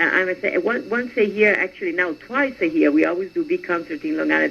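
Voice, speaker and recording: A woman speaks with an Italian accent over noticeable background noise. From Venice, Italy. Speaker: singer. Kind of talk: radio interview. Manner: halting.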